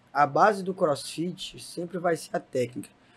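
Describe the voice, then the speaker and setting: Speaking at a fairly slow pace with ordinary pitch variation, a man has an unremarkable speaking voice. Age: 20s. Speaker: CrossFit coach. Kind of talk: casual chat.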